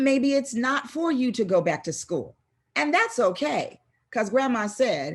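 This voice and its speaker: Against a quiet background, the voice moves at a fairly slow pace with very wide pitch swings. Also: woman. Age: 60s. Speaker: motivational speaker. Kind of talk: motivational talk. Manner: animated.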